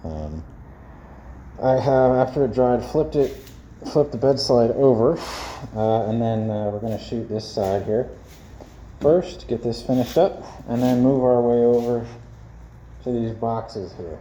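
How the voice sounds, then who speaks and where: Over noticeable background noise, a man at a medium pitch speaks with ordinary pitch variation and long, frequent pauses. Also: moderate pace. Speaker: DIY video maker. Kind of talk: tutorial. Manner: casual, halting.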